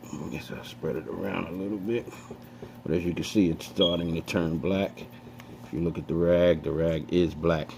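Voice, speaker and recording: Noticeable background noise sits under the voice. The delivery is at a moderate pace, with ordinary pitch variation. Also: man, very deep, low pitch for a man. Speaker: DIY tutorial maker. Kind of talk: tutorial. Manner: casual, hesitant with fillers.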